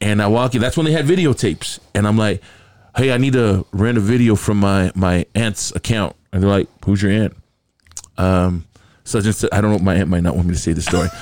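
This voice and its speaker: A man with an ordinary speaking voice talks at a fairly quick pace. His pitch varies in an ordinary way and his loudness stays very even. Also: fairly low pitch for a man. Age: 50s. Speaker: radio and TV host. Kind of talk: casual banter.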